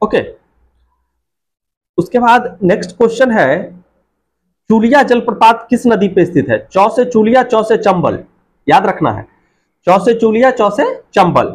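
A man speaks at a moderate pace with a high pitch. His pitch swings widely.

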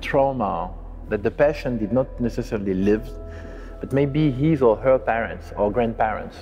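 A man at a moderate pace, with ordinary pitch variation and faint music in the background. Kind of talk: interview answer. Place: hall.

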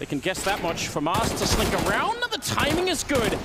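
A man speaks in an excited tone. Noticeable background noise is audible. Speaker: esports caster. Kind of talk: live esports commentary. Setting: broadcast match commentary over game footage. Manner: fast-paced, excited play-by-play.

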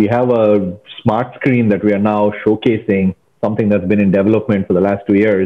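A man with an ordinary speaking voice talks at a fairly quick pace. His pitch is fairly low. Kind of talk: interview answer. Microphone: earbuds.

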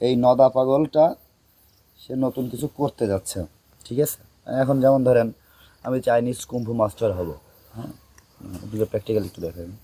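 A man's medium-pitched voice, dark and mellow in tone, comes through dry and close with no echo, showing big swings in loudness and ordinary pitch variation. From Bangladesh, Narail district. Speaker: social media content creator. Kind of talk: interview.

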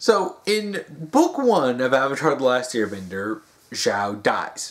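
Very slow speech from a man, with a quiet background. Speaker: video commentator. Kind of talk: casual vlog chat. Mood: mocking, exasperated. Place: home room. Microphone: phone near.

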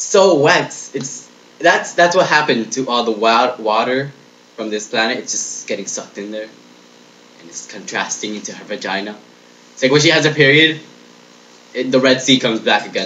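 A man speaks at a moderate pace with ordinary pitch variation. His loudness swings widely, with long, frequent pauses. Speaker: comedic vlogger. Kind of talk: comedic rant monologue. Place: home room. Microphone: webcam.

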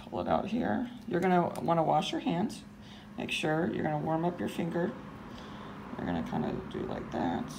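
Noticeable background noise is audible throughout. A woman talks over it at a moderate speed. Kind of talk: casual vlog chat and tutorial. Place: kitchen. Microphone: phone near.

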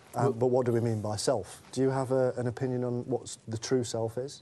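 The speaker is a man at medium pitch. He talks at a fairly quick pace. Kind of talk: interview. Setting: studio. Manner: enthusiastic.

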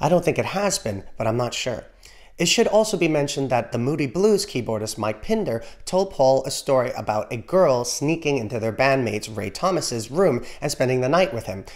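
Against a quiet background, a man with an American accent talks at a fairly quick pace in a fairly high pitch, with very wide pitch swings. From New York City (Bronx), Trinidadian family. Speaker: music YouTuber. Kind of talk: scripted narration. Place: home room. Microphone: studio mic.

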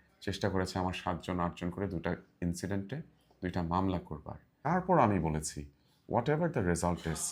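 This very clean recording has a silent background. A man speaks in a very deep, low voice with ordinary pitch variation. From Bangladesh, Brahmanbaria (Nabinagar). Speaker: parliamentary candidate, politician. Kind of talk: interview.

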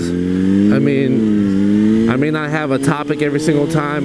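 The recording has loud background noise and a dry sound with no echo. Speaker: motorcycle rider vlogger. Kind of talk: casual vlog chat. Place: motorbike. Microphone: helmet.

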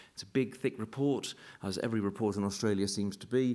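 Talking at a fairly quick pace, a man with a British accent has a dark, mellow tone. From UK. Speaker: university executive and painter; keynote speaker. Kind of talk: keynote lecture. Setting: stage with audience. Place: hall. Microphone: podium.

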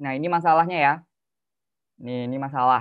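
A fairly high-pitched man in monotone, flat intonation against a quiet background. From Bekasi, Indonesia; Indonesia. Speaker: youth speaker; speaker. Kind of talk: webinar talk. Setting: video call. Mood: casual, friendly. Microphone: video call.

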